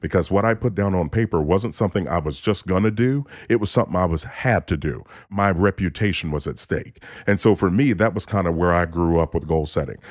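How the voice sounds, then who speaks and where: Ordinary pitch variation and a fairly quick pace on a very clean recording with a silent background. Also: man, very deep, low pitch for a man. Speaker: financial coach and author. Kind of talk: interview conversation about retirement and money.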